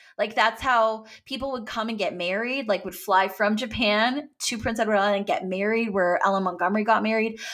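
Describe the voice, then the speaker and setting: Speaking in a normal speaking voice with a Canadian accent, a woman talks at a fairly quick pace with hardly any pauses, using a fairly high pitch and ordinary pitch variation. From Canada. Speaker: actor. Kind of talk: casual chat.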